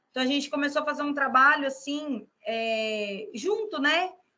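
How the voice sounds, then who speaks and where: A woman projects a raised, high-pitched voice with a bright, sharp tone. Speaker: psychologist. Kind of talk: interview.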